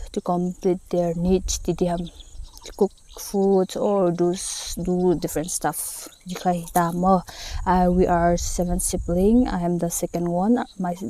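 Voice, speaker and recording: A woman with a non-native accent speaks at a fairly slow pace in a fairly low, monotone, flat voice over noticeable background noise. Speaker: vlogger and nurse. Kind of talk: casual Q&A vlog. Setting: outdoors in a paddy field. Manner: halting, many fillers.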